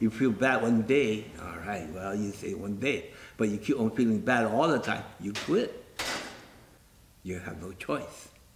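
Noticeable background noise runs under a man speaking at a moderate pace with ordinary pitch variation. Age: 70s. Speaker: piano mover. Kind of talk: interview answer. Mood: calm, matter-of-fact. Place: hall.

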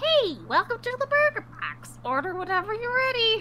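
A put-on character voice at a moderate pace with very wide pitch swings, over clear background noise. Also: woman, extremely high pitch for a woman. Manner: chirpy tutorial-assistant voice.

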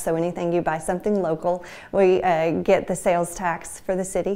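Speaking at a moderate pace, a woman has a dark, mellow tone. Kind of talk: interview answer. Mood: friendly, smiling. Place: office. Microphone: lapel.

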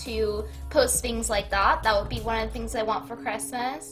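Faint music sits in the background. Over it, a woman talks at a moderate pace. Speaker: livestreamer. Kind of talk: casual stream chat.

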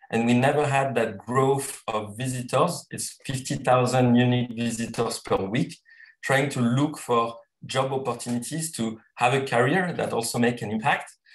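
Audible room echo surrounds a man's voice. He speaks at a moderate pace with fairly even intonation. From Tahiti, French Polynesia. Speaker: social entrepreneur. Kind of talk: panel discussion. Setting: video call. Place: home room. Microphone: video call.

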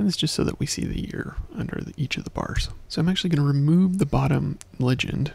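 A man talks at a very fast pace, the sound dry with no echo. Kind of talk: tutorial.

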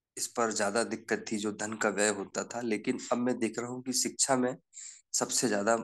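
Against a quiet background, a man speaks at a medium pitch with monotone, flat intonation. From Seoni, Madhya Pradesh. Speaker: journalist. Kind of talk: personal testimony in online group session.

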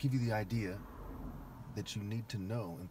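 A man talks at a fairly quick pace with a fairly low, somewhat breathy voice and ordinary pitch variation. The sound is dry with no echo, and there is light background noise. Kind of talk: ranting monologue.

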